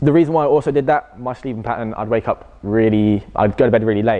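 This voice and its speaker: A man speaks very fast, keeping a medium pitch and ordinary pitch variation. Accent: English. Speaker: personal trainer. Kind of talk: public talk Q&A. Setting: college audience.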